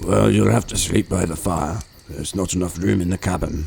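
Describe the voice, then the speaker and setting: Putting on a character voice, a man with a very deep, low pitch talks at a fairly quick pace with very wide pitch swings. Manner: gruff, stern.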